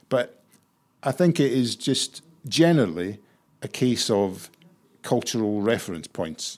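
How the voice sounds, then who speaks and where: Long, frequent pauses from a man at medium pitch, with lively intonation and a fairly slow pace. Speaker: staff writer learning comedy. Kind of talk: casual interview chat. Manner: hesitant, filler-heavy.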